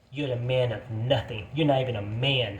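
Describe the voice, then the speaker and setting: Somewhat breathy, a man talks at a fairly slow pace in a medium pitch with ordinary pitch variation. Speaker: video blogger. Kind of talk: angry rant. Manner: animated.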